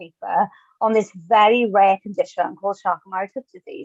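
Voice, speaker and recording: A woman speaks with a Welsh accent. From Wales. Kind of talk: webinar talk.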